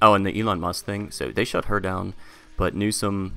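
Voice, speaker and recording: With music in the background, someone talks at a fairly quick pace. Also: man. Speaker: commentary vlogger. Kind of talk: casual commentary monologue. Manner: filler-heavy, frequent ums.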